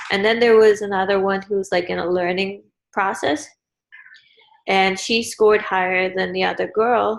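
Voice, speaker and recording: Fairly even intonation at a moderate pace, in a Guyanese accent. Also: woman, medium pitch for a woman. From Guyana. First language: Guyanese Creole. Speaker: student. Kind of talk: casual chat. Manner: hesitant.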